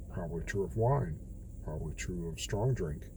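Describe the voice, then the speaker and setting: A man speaks with a very deep, low pitch and a dark, mellow tone, plus vocal fry. Audible room echo surrounds him. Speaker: daily bible reading vlogger. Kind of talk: casual bible reflection monologue. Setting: in a car. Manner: talking a bit low.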